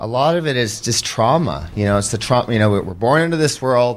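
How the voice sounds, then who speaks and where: The man rushes along at a very fast pace while noticeable background noise plays behind him. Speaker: former pro hockey player, mental health advocate. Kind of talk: podcast interview, personal testimony. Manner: emotional, rambling with fillers.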